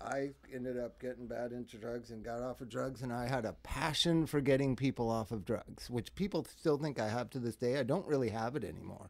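Speaking at a fairly quick pace with hardly any pauses, a man uses a normal speaking voice with an American accent. His pitch is medium and its variation ordinary. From Los Angeles suburbs. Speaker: singer and drug counselor. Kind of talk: casual chat.

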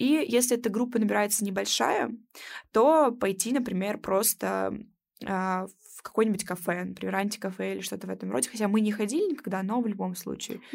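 A woman talks at a fairly quick pace with a medium pitch, ordinary pitch variation and vocal fry, on a very clean recording with a silent background. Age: 20s. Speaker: student podcast host. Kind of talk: casual interview chat. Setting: recording room.

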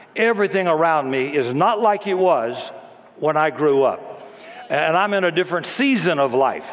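Over noticeable background noise, the speaker moves at a moderate pace with lively intonation. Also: man, high pitch for a man, very even loudness. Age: 70s. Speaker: pastor. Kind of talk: sermon. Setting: church. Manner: animated.

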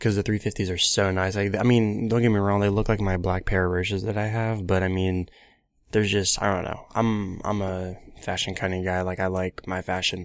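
A man's fairly low, monotone voice with flat intonation at a fairly quick pace. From Ohio, Columbus area. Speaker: podcast host. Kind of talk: casual solo commentary. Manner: halting, many fillers.

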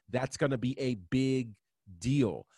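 A man with an American accent speaks in a normal speaking voice at a medium pitch and a fairly slow pace. The very clean recording is dry and close with no echo, over a silent background. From New York State, Catskills. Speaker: wrestling podcast co-host. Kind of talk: casual chat.

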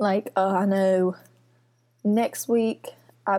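With a Mississippi accent, a woman talks in a dark, mellow tone with ordinary pitch variation. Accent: Southern US (Mississippi). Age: 20s. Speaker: podcast host and lifestyle blogger. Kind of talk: casual chat. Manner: animated.

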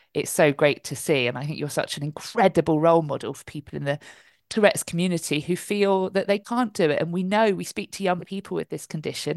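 A woman's fairly low-pitched, enthusiastic voice at a very fast pace, with ordinary pitch variation. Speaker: charity advocacy manager and occupational therapist. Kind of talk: panel discussion. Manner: articulate, enthusiastic.

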